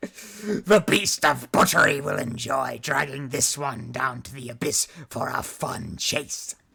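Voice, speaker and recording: A man puts on a raspy, menacing character voice at medium pitch, speaking at a fairly slow pace with hardly any pauses. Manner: menacing, gleeful.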